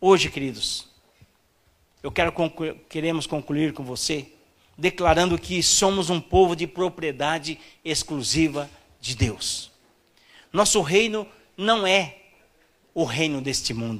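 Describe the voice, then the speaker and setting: A man's fairly high voice at a very slow pace, with long, frequent pauses. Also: ordinary pitch variation. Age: 50s. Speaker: pastor. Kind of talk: sermon.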